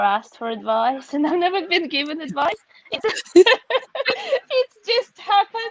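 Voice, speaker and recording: With a Russian accent, a woman speaks at a moderate pace in very wide pitch swings, the sound dry and close with no echo. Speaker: author and educator. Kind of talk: interview.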